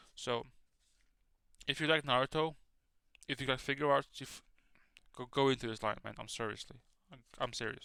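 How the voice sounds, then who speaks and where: Bright and sharp, a man's medium-pitched voice swings widely in loudness, broken by long, frequent pauses. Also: fairly quick pace. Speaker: toy collector youtuber. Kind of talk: casual chat. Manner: halting, repetitive stammering; animated.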